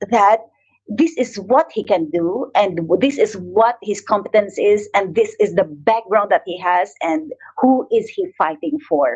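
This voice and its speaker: A woman speaks at a very slow pace in a strong Filipino accent. Her pitch swings very widely. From Philippines. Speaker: image consultant and coach. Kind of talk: online live talk with presentation. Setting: livestream on Facebook and YouTube.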